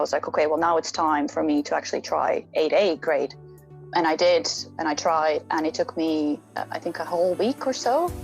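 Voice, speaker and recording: A woman speaks at a moderate pace in an Irish accent, with hardly any pauses and music in the background. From Latvia. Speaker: rock climber. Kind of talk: interview answer.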